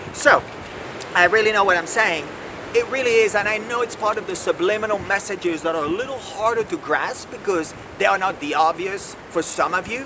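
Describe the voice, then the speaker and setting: A man speaks in a high, animated voice with ordinary pitch variation. His pace is fairly quick, and background noise is noticeable. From France. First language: French. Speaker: executive coach. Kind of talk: video lesson.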